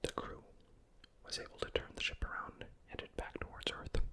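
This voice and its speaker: The words come out as a whisper at a moderate speed. Noticeable noise sits in the background. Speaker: ASMR content creator. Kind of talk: ASMR lore reading, game story narration. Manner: whispered, soft.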